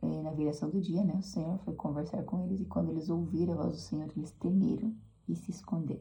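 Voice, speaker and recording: At a moderate pace, a soft-spoken woman talks. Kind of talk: devotional talk. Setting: at home.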